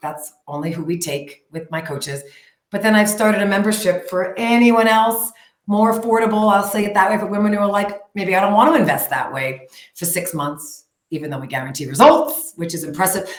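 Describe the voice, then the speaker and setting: The voice moves at a fairly quick pace with lively intonation and big swings in loudness, and audible room echo is present. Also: woman. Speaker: health coach. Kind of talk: interview. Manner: fast; animated.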